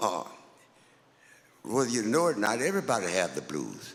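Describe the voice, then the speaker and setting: With an American accent, a man speaks at a moderate pace and a fairly low pitch. His voice has vocal fry and very wide pitch swings. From Louisiana. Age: 80s+. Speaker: blues musician. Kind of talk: interview.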